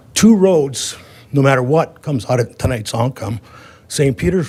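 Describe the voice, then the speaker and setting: The man's voice is somewhat breathy, and his intonation is lively. He keeps a moderate pace. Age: 70s. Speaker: public commenter at village meeting. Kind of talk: public comment. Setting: village board meeting.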